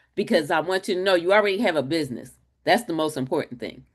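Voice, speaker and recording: An animated tone over a quiet background. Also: woman. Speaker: webinar host and marketing coach. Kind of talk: webinar presentation. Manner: loud.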